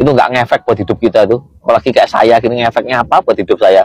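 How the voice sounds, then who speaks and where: A man speaks at a very fast pace in an East Javanese accent. The sound is dry and close, with no echo. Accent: Kediri Javanese accent, sounds harsh. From East Java (Kediri). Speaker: TikTok live streamer. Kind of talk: casual live chat.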